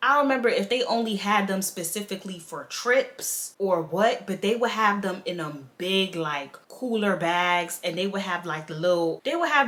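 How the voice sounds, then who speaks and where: A woman speaks at medium pitch with ordinary pitch variation. Her pace is moderate. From Queens, New York City. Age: 20s. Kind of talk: casual storytime talk to camera.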